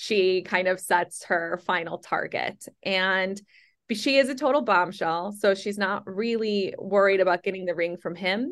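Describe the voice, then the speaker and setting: Against a quiet background, a woman talks at a fairly slow pace and medium pitch with ordinary pitch variation. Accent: American. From Chicago. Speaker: novelist and screenwriter. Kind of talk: interview. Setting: phone call. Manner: animated.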